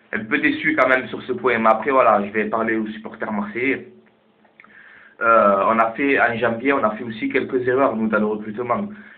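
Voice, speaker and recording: A man's fairly even intonation amid audible room echo. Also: medium pitch for a man, moderate pace. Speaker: football vlogger. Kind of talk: casual vlog commentary. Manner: halting.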